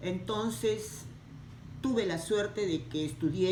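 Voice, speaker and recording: A woman's lively intonation, with audible room echo and noticeable background noise. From Peru, Lima. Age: 70s. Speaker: interviewee. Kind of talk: interview. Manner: halting.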